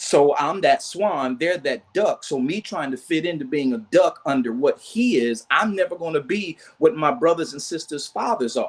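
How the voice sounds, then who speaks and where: A man speaks with an ordinary speaking voice at a moderate pace. His pitch is fairly high, his intonation lively. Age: 60s. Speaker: church men's counselor. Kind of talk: testimony.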